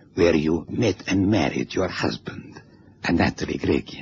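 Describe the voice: In a put-on character voice, a man speaks low and at a fairly slow pace, his slightly mellow tone carrying a husky, rough edge and vocal fry over lively intonation.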